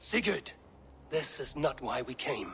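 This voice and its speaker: A raspy, put-on character voice from a man, fairly slow in pace, against clear background noise. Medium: video game. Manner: calm, measured.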